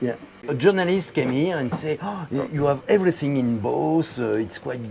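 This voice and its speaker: A man with a French accent at a medium pitch and a moderate pace, with lively intonation and noticeable background noise. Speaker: boat builder showing his sailboat. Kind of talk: boat tour explanation. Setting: boat show, aboard a boat. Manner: halting, many fillers.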